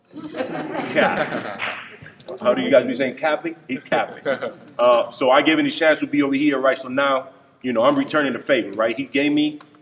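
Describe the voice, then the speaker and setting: A man keeps a moderate pace while noticeable background noise fills the recording. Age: 30s. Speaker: basketball coach. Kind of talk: banquet speech. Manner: animated.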